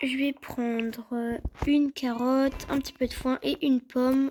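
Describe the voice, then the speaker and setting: A woman speaks at a very slow pace in a high pitch. Her intonation is monotone and flat. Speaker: horse-riding vlogger. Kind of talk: casual vlog. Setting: stables. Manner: hesitant, many fillers.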